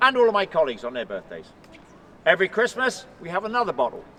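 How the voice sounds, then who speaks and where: A man speaks with an English accent. His pace is very fast. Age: 40s. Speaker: tour guide, ceremonial guard, army veteran. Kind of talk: guided tour talk to a crowd. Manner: animated.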